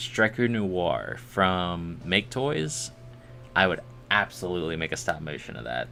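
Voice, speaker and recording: A man with a very deep, low voice speaks at a fairly slow pace, with very wide pitch swings and big swings in loudness. Music plays in the background. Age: 20s. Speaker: streamer making 3D models. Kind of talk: casual live stream chat. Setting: live stream at computer.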